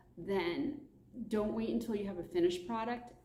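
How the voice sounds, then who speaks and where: A woman talks with lively intonation. Room echo is audible. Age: 60s. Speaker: children's book author. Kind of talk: informal talk to camera.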